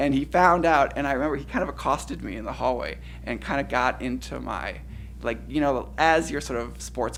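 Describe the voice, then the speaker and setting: A fairly quick pace in an American accent, with noticeable background noise. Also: man. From Cleveland, Ohio, US Midwest. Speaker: poet. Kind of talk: audience Q&A after a poetry reading. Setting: reading event with audience. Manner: halting, many repetitions.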